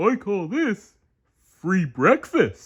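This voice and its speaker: A man puts on a character voice at a high pitch, with very wide pitch swings. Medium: read story.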